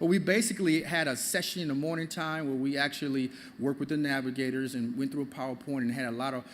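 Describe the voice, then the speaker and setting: Very fast speech comes from a man whose fairly high voice shows ordinary pitch variation. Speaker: government financial aid outreach supervisor. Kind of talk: presentation to audience. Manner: animated.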